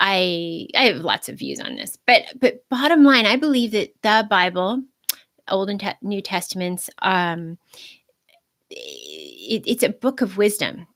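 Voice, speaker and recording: A woman talks at medium pitch and a fairly slow pace. Her intonation is lively, with big swings in loudness. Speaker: video blogger on Christianity. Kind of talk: unscripted livestream monologue. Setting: live stream. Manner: halting, self-correcting.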